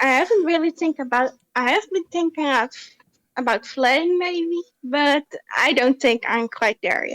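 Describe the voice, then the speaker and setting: A woman speaks at a high pitch and a fairly slow pace, with lively intonation. The sound is dry and close, with no echo. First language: not English. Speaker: caller. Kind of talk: casual chat. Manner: halting.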